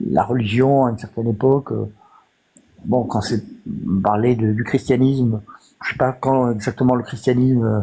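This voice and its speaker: A man with a dark, mellow tone speaks at a medium pitch and moderate pace. His intonation is fairly even, broken by long, frequent pauses. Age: 60s. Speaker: live stream participant. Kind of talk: debate. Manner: halting, many hesitations.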